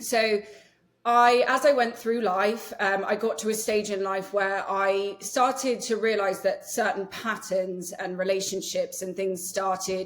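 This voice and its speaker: A woman with an English accent speaks at a medium pitch and a fairly slow pace, her intonation fairly even. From England. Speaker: nervous system healer and yoga teacher. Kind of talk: podcast interview. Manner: casual with many fillers.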